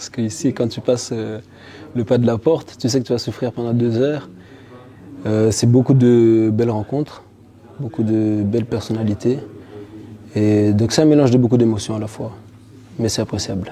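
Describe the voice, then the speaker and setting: With long, frequent pauses, a man at medium pitch talks at a moderate pace and fairly even intonation over noticeable background noise. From Belgium, arrived from Haiti at seven. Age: 20s. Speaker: amateur MMA fighter. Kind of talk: interview.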